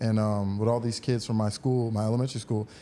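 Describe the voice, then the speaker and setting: The man's voice sits at a medium pitch, dark and mellow in tone. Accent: American. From New York, Long Island (Elmont). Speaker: former NFL player and real estate agent. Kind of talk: casual interview.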